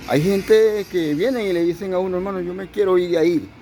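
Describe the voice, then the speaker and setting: A man with a Venezuelan accent talks at a high pitch. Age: 70s. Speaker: pastor. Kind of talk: sermon.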